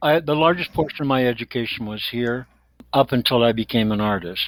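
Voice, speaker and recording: On a very clean recording with a silent background and a dry, close sound with no echo, a man with an unremarkable speaking voice talks at a fairly quick pace and medium pitch with ordinary pitch variation. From Netherlands and Canada (London, Ontario). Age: 60s. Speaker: visual artist. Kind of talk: podcast interview.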